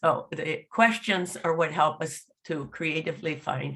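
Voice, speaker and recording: A woman speaks with a very deep, low pitch and a somewhat breathy quality. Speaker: law professor. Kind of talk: lecture. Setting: video call.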